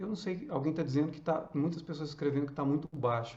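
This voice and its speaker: Fairly high in pitch, a man speaks in an unremarkable speaking voice at a fairly quick pace, with ordinary pitch variation. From northern Minas Gerais, Brazil. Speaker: actor. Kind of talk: casual chat. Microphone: too quiet.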